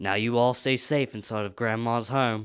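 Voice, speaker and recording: A man puts on a cartoonish character voice. His pitch sits in the medium range. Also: moderate pace. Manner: cheery, casual.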